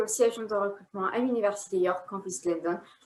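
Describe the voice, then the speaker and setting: A woman talks at a very fast clip. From outside Canada. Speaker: university recruitment officer. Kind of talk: promotional presentation.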